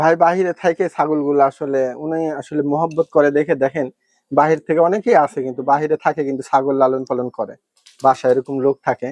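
A man with a plain, everyday voice and a fairly high pitch is heard in a dry, close sound with no echo. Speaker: livestock farm vlogger. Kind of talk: farm tour presentation.

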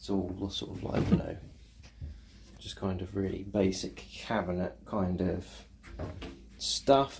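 Speech with fairly even intonation and music in the background. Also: man. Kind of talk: casual vlog chat. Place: bathroom. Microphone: phone near.

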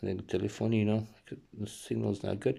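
Over a quiet background, a man with an Argentine accent speaks at a moderate pace, his pitch fairly low and his tone dark and mellow. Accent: Argentine Spanish accent in Italian. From Argentina and US. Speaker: video blogger. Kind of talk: casual vlog. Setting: in bed at home. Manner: halting. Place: home room. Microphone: phone near.

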